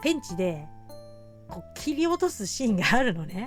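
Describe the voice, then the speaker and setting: Very wide pitch swings from a woman at a moderate pace, with music in the background. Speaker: horror movie fan and video streamer. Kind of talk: casual Q&A chat to camera. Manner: casual, rambling, chatty.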